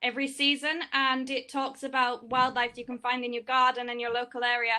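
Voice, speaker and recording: Her voice high, bright and sharp, a woman with an English accent speaks fairly quickly in a monotone, flat intonation. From England. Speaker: student in audience. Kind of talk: Q&A discussion. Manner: fast.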